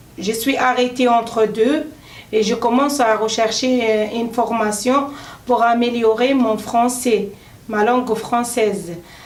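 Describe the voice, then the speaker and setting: A woman talks at a very slow pace in a monotone, flat intonation. The recording has audible room echo and noticeable background noise. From Tunisia. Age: 30s. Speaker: adult French language trainee. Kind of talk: self-introduction speaking exercise. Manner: halting with many hesitations.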